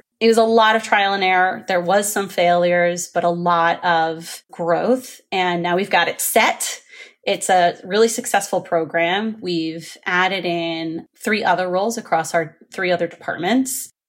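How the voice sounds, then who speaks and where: An ordinary speaking voice talks at a fairly slow pace with hardly any pauses and ordinary pitch variation, in a very clean recording with a silent background. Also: woman, medium pitch for a woman. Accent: American. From New Jersey. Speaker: recruiting executive. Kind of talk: casual interview.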